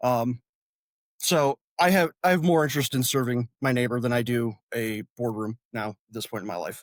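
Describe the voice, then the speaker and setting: This man's Midwestern American accent comes through a dry, close sound with no echo, at a moderate pace, medium pitch and ordinary pitch variation. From northern Indiana, LaPorte County. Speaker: congressional candidate and army veteran. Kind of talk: interview. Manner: halting, many fillers.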